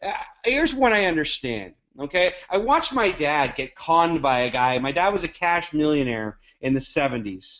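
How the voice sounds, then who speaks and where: Speaking with an American accent at a moderate pace, the voice sounds animated, with very wide pitch swings. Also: man. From Canada. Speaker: network marketing leader. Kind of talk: webinar talk. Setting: conference call.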